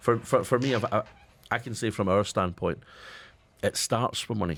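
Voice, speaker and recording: A man with a Scottish accent speaks at a fairly quick pace in a fairly low pitch, on a very clean recording with a silent background. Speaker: radio co-host, company managing director. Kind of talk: radio panel discussion.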